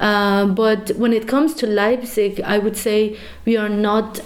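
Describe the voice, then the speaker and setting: A woman's fairly high voice in a Persian accent, with fairly even intonation. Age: 30s. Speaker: activist, student. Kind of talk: interview.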